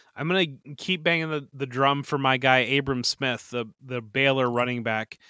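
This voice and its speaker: In a very clean recording with a silent background, a man with a Midwestern American accent speaks in a bright, sharp tone at a medium pitch, with fairly even intonation, a moderate pace and hardly any pauses. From northwest Ohio, Toledo area. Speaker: fantasy football analyst. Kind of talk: casual interview. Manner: halting, many repeated words.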